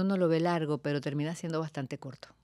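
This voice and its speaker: A woman's fairly low voice in a Venezuelan accent, on a very clean recording with a silent background. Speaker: talk show host. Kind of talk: interview.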